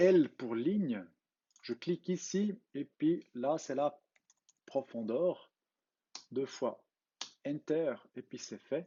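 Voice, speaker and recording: A man in a Swiss German accent, fairly high in pitch, with lively intonation, a very slow pace and long, frequent pauses. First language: Swiss German (speaking French). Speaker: CAD tutorial creator. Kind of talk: tutorial. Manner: halting, with fillers.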